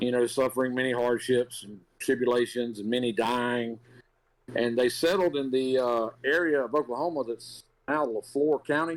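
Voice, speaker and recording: This man's intonation stays fairly even while he talks at a moderate pace. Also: medium pitch for a man. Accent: Southern US. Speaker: podcast co-host, resident historian. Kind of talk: storytelling. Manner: casual, filler-heavy.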